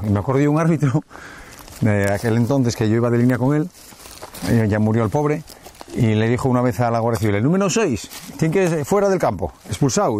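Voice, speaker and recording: Over light background noise, a man talks at a very fast pace with lively intonation in a dry sound with no echo. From Langreo, Asturias, Spain; Asturias, Spain. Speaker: international football referee; guest. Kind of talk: casual chat while hiking. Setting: outdoors on a hiking route. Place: forest. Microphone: lapel.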